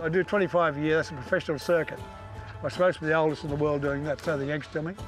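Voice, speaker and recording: The speech moves at a very fast pace over music in the background. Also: man, fairly high pitch for a man, fairly even intonation. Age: 80s+. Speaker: rodeo cowboy. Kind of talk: interview answer.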